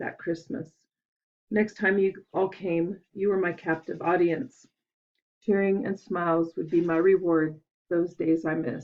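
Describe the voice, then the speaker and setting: With fairly even intonation and a fairly low pitch, a woman delivers her words at a moderate pace in a plain, everyday voice. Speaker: granddaughter reading a memorial poem. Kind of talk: poetry reading. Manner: emotional, tearful.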